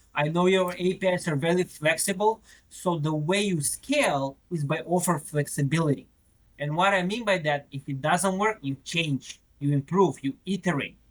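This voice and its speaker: A man's high-pitched voice at a moderate pace. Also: ordinary pitch variation. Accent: Macedonian. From North Macedonia. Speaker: retail technology product manager. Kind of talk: podcast interview. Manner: repetitive stammering on words.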